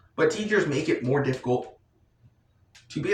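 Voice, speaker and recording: A man at a moderate pace, with audible room echo. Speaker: vlogger. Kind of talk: casual monologue. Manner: halting, repetitive.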